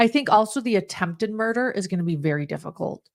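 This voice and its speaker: A woman speaks at a very fast pace with a slight Utah accent. The recording is very clean, with a silent background. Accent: slight Utah accent on some words. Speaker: true crime podcast panelist. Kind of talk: live podcast discussion. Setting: live stream.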